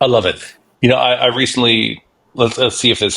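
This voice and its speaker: Vocal fry runs through this man's voice. He moves along at a fairly quick pace. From Canada. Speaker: podcast host. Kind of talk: podcast interview.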